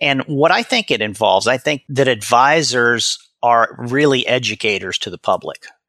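A man talks in an American accent with a bright, sharp tone and ordinary pitch variation. The sound is dry and close, with no echo. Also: medium pitch for a man, moderate pace. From US Midwest (Omaha, Nebraska). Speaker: college president and finance educator. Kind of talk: interview.

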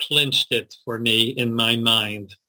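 His voice sits at a medium pitch. The man talks in an American accent. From US, Baltimore, Maryland. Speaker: rabbi and school principal. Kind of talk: interview. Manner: halting.

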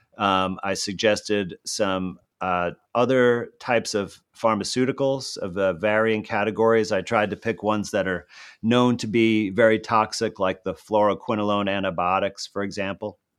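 Over a quiet background, a man talks at a moderate pace in a fairly low pitch with fairly even intonation. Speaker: physician and natural healing consultant. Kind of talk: interview. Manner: relaxed.

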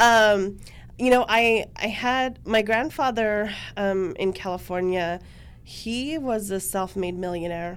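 Speaking at a fairly slow pace with ordinary pitch variation, a woman has a normal speaking voice and an American accent. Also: medium pitch for a woman. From Montana, Blackfeet Reservation. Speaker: real estate agent. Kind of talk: casual interview.

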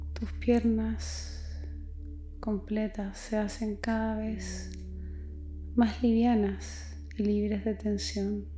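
Very slowly, the words come out between long, frequent pauses. There is noticeable noise in the background. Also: woman. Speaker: psychologist guiding meditation. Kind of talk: guided meditation. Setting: solo recording addressed to listener. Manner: slow, soft, soothing; gentle, unhurried, with long pauses.

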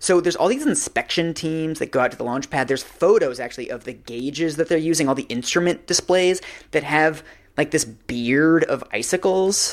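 A man speaks at a fairly quick pace with a fairly high pitch and ordinary pitch variation, a plain, everyday voice. The recording is very clean, with a silent background. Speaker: reporter and podcast co-host. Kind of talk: casual chat.

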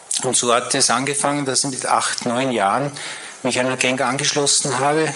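Audible room echo and noticeable background noise surround a man speaking at medium pitch in a monotone, flat delivery. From Vienna, Austria (Floridsdorf). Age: 60s. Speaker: guest speaker sharing conversion story. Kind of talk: testimony. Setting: church service stage with audience.

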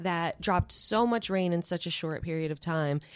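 In a very clean recording with a silent background, a woman with an American accent talks at a moderate pace with ordinary pitch variation. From New York. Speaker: filmmaker and storyteller. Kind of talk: interview.

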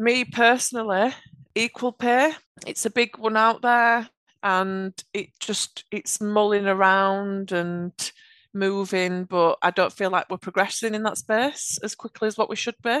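Here a woman speaks with a Yorkshire accent at medium pitch, fairly slowly and with fairly even intonation. The background is quiet, and the sound is dry and close with no echo. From Yorkshire, England. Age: 30s. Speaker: automation architect. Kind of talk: casual interview chat.

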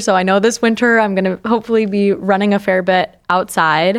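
In a plain, everyday voice, a medium-pitched woman with an American accent speaks at a moderate pace on a very clean recording with a silent background. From upstate New York. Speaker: surgical resident. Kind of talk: casual interview.

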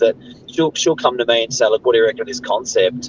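With an Australian accent, a man talks at a fairly quick pace, the sound dry and close with no echo, amid noticeable background noise. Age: 40s. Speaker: real estate agent. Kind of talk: casual chat. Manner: halting.

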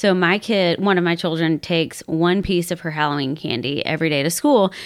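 The speaker moves at a fairly quick pace. It is a plain, everyday voice. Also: woman. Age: 30s. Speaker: podcast host and therapist. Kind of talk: casual chat. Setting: at her own home.

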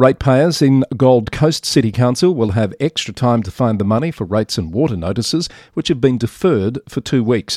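A man speaks in a normal speaking voice at medium pitch, with lively intonation, a moderate pace and hardly any pauses. The recording is very clean with a silent background and a dry, close sound with no echo. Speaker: podcast newsreader host. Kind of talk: news reading, scripted news roundup. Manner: steady, formal, even-paced newsreader delivery; clear and measured, neutral and matter-of-fact.

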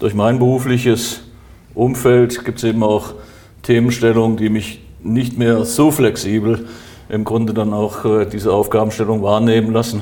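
In a dark, mellow tone, a man talks at a moderate pace and medium pitch with monotone, flat intonation. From Germany, northern Hesse. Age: 60s. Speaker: mayor and election candidate. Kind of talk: interview. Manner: formal.

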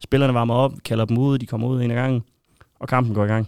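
In a very clean recording with a silent background and a dry, close sound with no echo, a man speaks at medium pitch. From Denmark, Aarhus area. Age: 30s. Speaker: football shirt collector and fan. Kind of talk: casual interview.

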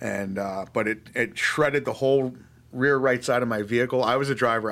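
A man speaks fairly quickly at a medium pitch. His intonation is fairly even, and the recording is very clean with a silent background. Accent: New York. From New York (Long Island, upstate). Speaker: army veteran. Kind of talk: interview.

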